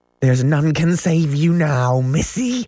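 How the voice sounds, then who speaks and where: A man puts on a hissing character voice at a fairly high pitch. He speaks at a fairly slow pace. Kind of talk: menacing. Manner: jeering, hissed.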